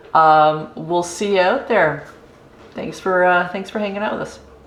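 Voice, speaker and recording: The speech moves at a fairly slow pace, with audible echo from the room. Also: woman. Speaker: camping YouTuber. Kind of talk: casual vlog outro. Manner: halting, many fillers.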